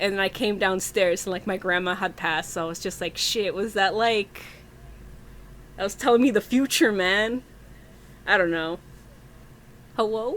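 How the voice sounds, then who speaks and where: Speaking at a moderate pace, a woman uses a Spanish accent. She shows ordinary pitch variation and leaves long, frequent pauses. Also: medium pitch for a woman. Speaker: podcast host. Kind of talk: casual chat.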